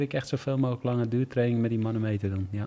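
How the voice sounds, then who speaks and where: A man's medium-pitched voice, dark and mellow, with fairly even intonation, in a very clean recording with a silent background. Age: 40s. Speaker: cycling team director, former pro cyclist. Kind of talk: interview. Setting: hotel room.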